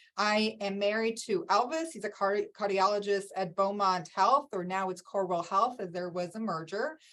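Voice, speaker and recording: At a moderate pace, a woman speaks with medium pitch, ordinary pitch variation and hardly any pauses. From Michigan, US (immigrated at nine). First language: not English. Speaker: networking speaker. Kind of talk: talk.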